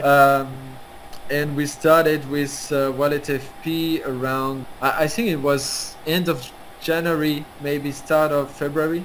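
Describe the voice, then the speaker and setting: Over noticeable background noise and audible room echo, the speaker talks very slowly with a French accent and monotone, flat intonation. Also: man, fairly high pitch for a man. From France. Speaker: NFT platform founder. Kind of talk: interview. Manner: halting, many hesitations.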